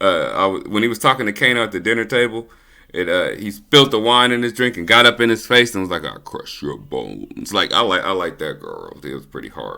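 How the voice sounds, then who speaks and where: Speaking at a fairly quick pace, a man sounds animated, and his loudness swings widely. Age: 30s. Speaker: YouTube movie reviewer. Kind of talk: casual review monologue. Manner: fast.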